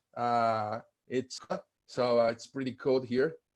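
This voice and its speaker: Against a quiet background, the speaker talks at a fairly slow pace in a Portuguese accent. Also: man. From Brazil, Curitiba. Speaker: law professor. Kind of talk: conference presentation.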